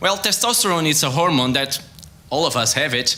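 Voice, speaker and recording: A man with a Portuguese accent speaks in a fairly high pitch with ordinary pitch variation. Noticeable background noise and audible room echo surround him. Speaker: sports science researcher. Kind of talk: science talk competition. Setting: stage with audience. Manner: halting.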